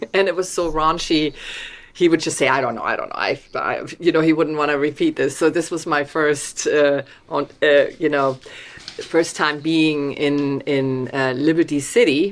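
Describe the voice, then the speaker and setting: A woman speaks in a strong German accent with a very deep, low pitch. Her intonation stays fairly even at a moderate pace. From Germany, Hamburg. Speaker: documentary film director. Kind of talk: video interview.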